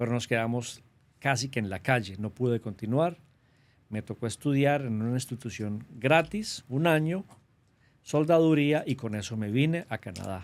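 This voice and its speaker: A man's medium-pitched voice at a moderate pace, with a strong paisa Colombian accent and lively intonation. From Colombia, Antioquia (paisa region). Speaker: government trade representative. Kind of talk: interview.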